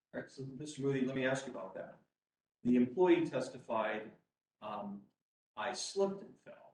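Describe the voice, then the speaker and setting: In a room with audible echo, a man at medium pitch speaks at a moderate pace with long, frequent pauses, big swings in loudness and lively intonation. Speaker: appeals court judge. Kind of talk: courtroom oral argument, presiding. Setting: courtroom, live streamed. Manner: loud, by own remark.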